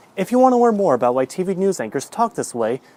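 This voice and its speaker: Over background music, a man talks very fast with very wide pitch swings. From United States, not one specific region. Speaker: educational YouTuber. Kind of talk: scripted narration.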